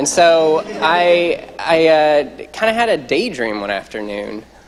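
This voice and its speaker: A man speaks at a very slow pace and a fairly high pitch, with very wide pitch swings. Noticeable background noise is present. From US Midwest, southern Iowa. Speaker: medical student. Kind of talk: panel talk. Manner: casual, many fillers.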